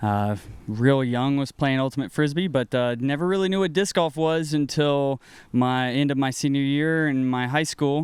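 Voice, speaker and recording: A man speaks with an American accent in a plain, everyday voice, his pitch varying in an ordinary way. The recording is very clean, with a silent background. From US South, North Carolina. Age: 30s. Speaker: disc golf player. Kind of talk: casual interview.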